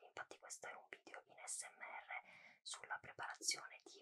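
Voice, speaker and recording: A woman is whispering at a moderate pace. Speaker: ASMR content creator. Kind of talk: casual talk to camera, intro to a cooking and tasting video. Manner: whispered, soft-spoken. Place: home room.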